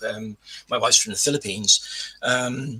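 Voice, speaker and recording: A man speaking at a moderate pace. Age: 60s. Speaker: operating department practitioner. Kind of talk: casual chat. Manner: halting, repeats words.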